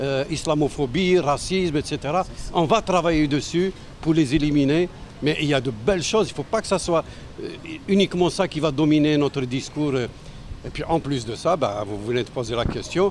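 Noticeable background noise sits behind a man with a fairly high pitch for a man. He keeps a moderate pace with ordinary pitch variation. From western Algeria. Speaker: municipal election candidate. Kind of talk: interview. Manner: halting.

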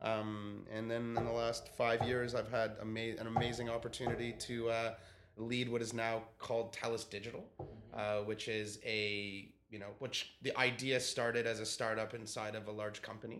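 A man with a Canadian accent, medium in pitch, monotone and flat at a moderate pace, over noticeable background noise. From Canada. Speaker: telecom digital executive. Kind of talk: casual interview.

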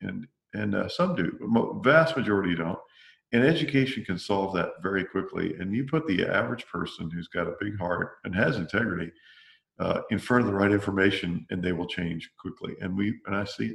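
Here a man uses a normal speaking voice at a fairly low pitch. His intonation is lively and his pace fairly quick. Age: 50s. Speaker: company CEO. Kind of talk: interview.

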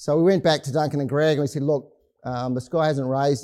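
In a dark, mellow tone with a New Zealand accent, the speaker talks at a very fast pace with fairly even intonation, on a very clean recording with a silent background. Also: man. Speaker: company executive. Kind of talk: business presentation. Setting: stage with audience. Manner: hesitant with frequent fillers.

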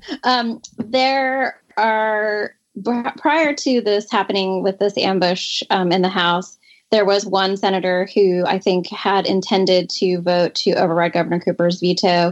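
In a quiet background, a woman with an American accent and a plain, everyday voice speaks at a fairly slow pace and medium pitch, with ordinary pitch variation and very even loudness. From North Carolina, US South. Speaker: state legislator. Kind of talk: interview.

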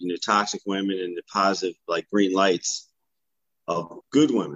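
A man with an ordinary speaking voice, at a moderate pace with ordinary pitch variation. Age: 50s. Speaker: life coach and podcaster. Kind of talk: casual chat.

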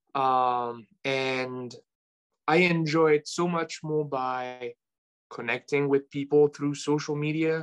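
Speaking at a fairly slow pace in a French accent, a man with a fairly high pitch keeps his intonation fairly even in a dry, close sound with no echo. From France. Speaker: sports card collector. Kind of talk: casual chat. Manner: hesitant, many fillers.

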